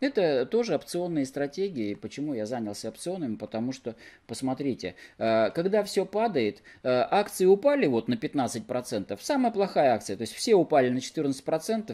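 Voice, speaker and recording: A man's fairly high voice, dark and mellow in tone, with very wide pitch swings. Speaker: investing blogger. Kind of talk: tutorial. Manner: informal, explanatory. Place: home room. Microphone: webcam.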